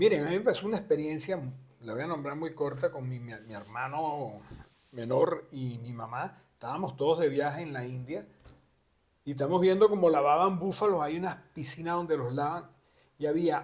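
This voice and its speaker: A man speaks with big swings in loudness. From abroad, not Argentina. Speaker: podcast co-host, father of co-host. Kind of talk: casual chat.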